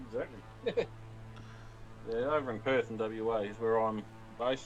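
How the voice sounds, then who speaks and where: A man's medium-pitched, monotone voice with flat intonation and a strong Australian accent, at a moderate pace over background music. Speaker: stream moderator. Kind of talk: casual chat. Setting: voice comms during live stream.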